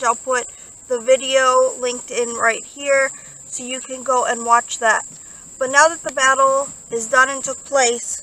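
Raising and projecting her voice, a woman speaks fairly slowly in a monotone, flat intonation with a dry sound and no echo. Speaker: paranormal vlogger. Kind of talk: casual vlog chat. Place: open country. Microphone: phone near.

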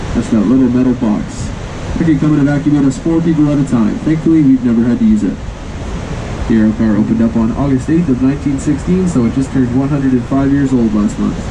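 Very fast speech from a man with ordinary pitch variation, heard over noticeable background noise. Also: very even loudness. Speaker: tour guide on the cable car. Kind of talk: tour guide commentary.

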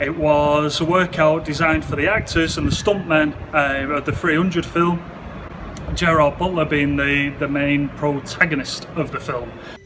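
Noticeable background noise beneath a monotone, flat intonation. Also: man, fairly slow pace. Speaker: gym coach. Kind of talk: tutorial. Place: gym. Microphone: phone near.

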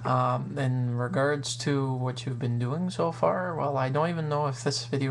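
Noticeable background noise runs beneath a man's voice. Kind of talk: casual vlog chat. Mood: friendly, playful. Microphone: webcam.

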